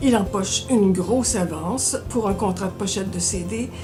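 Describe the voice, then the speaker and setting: Music plays behind a woman speaking at a fairly slow pace. Her medium-pitched voice has lively intonation. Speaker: library book reviewer. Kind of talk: book recommendation segment to camera.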